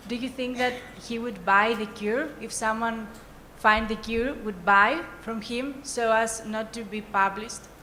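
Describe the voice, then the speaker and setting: Audible room echo surrounds a woman with a fairly high pitch. She speaks at a fairly slow pace with a non-native accent. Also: fairly even intonation. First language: not English. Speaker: young diabetes advocate. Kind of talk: audience question at summit. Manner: halting.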